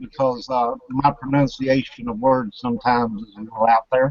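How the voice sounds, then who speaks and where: A man with a Tennessee accent at a medium pitch and moderate pace, in a dry, close sound with no echo. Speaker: paranormal investigator.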